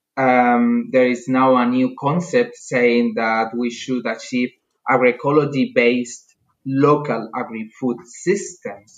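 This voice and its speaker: A man's medium-pitched voice with a Spanish accent, fairly even intonation, and a very slow pace. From Spain. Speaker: agricultural researcher. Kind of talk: interview.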